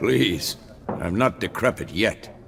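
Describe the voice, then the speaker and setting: A man's raspy, put-on character voice in a weary tone over clear background noise. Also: very deep, low pitch for a man. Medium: video game. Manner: gruff, world-weary.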